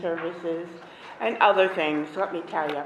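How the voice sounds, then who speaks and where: A woman with noticeable background noise and audible room echo. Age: 60s. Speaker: activist. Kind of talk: public hearing testimony.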